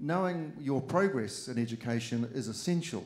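Speaking at a moderate pace, a man talks with a New Zealand accent. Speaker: politician. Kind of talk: speech to students. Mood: encouraging, earnest. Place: hall. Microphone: handheld.

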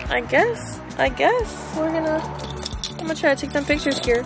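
A woman at a moderate pace, the sound dry with no echo, clear music behind her. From Chile. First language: Spanish. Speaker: model and content creator. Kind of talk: casual vlog talk to camera. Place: car. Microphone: phone near.

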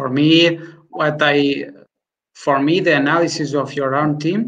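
A man talks in a plain, everyday voice at a fairly slow pace. His pitch is fairly high, with fairly even intonation over a quiet background. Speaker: football analyst. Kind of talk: panel interview. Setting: video call.

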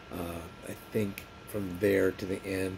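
Noticeable background noise sits behind a man whose very deep, low voice stays monotone and flat. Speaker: vlogger. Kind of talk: casual vlog chat. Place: home room. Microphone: phone near.

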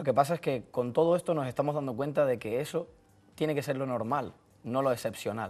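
Talking at a fairly quick pace, a man has a fairly high voice. His pitch varies in an ordinary way. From Canary Islands, Tenerife; Canary Islands. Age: 20s. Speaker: football coach; football coach guest. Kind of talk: sports talk show. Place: studio. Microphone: lapel.

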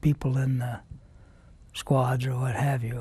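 A man's somewhat breathy voice, dry with no echo, at a moderate pace in a flat monotone. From US Midwest (Nebraska). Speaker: war veteran. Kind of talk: oral history interview. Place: studio. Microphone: lapel.

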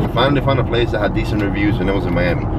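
A man talks over loud background noise, the sound dry with no echo. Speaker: driver vlogger. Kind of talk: casual storytelling vlog. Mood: frustrated, animated. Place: car. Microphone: phone near.

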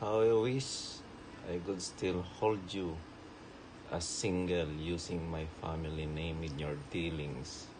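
At a very slow pace, a man speaks with ordinary pitch variation against noticeable background noise. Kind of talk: personal video message. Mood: warm, affectionate. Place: home room. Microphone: phone near.

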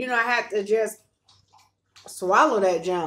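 Fairly even intonation in a woman's voice. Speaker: vlogger. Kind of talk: casual vlog chat with faith talk. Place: home room. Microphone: phone near.

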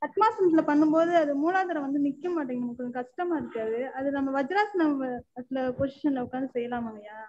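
A woman speaks in a high pitch with lively intonation. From Attur, Tamil Nadu; Tamil Nadu. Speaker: caller. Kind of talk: phone-in question. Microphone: phone line.

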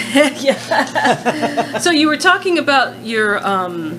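A woman's voice moves through very wide pitch swings amid noticeable background noise. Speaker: university archivist. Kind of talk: interviewer questions.

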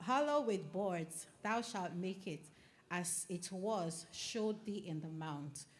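Somewhat breathy and medium-pitched, a woman talks at a very slow pace. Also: lively intonation. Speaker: scripture reader. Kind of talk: reading aloud from scripture.

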